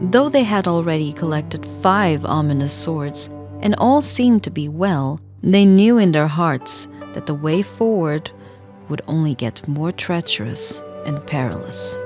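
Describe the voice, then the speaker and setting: Over background music, a soft-spoken woman with a very deep, low pitch talks at a fairly slow pace, her pitch swinging very widely. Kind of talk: soft ASMR book reading.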